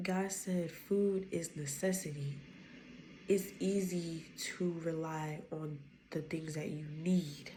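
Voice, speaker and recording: With audible room echo, a woman speaks very slowly in a dark, mellow, somewhat breathy tone, her fairly low pitch held in fairly even intonation. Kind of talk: casual spoken devotional. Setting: at home at night.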